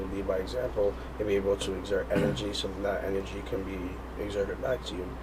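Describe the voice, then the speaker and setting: Audible room echo and noticeable background noise around a man speaking at a moderate pace. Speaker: rapper and singer. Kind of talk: interview. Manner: energetic.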